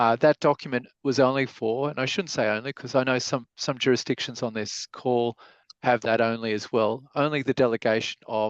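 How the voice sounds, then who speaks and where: With an Australian accent, a man speaks at medium pitch and a moderate pace with fairly even intonation. The sound is dry and close with no echo over a quiet background. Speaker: lawyer, webinar speaker. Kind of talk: webinar presentation. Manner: halting, many fillers.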